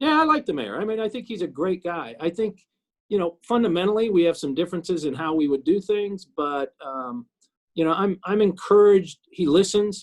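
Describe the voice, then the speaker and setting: A man with an American accent talks at a high pitch. His pace is fairly quick and his intonation lively. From Kansas City, Missouri. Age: 60s. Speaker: city councilman. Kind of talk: interview. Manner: halting, many repetitions.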